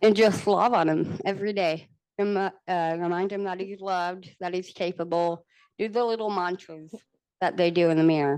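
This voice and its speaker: With an American accent and a plain, everyday voice, a woman speaks at a moderate pace with fairly even intonation. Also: medium pitch for a woman. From Texas. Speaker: panelist, parent with rare genetic condition. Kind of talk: panel discussion. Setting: conference panel.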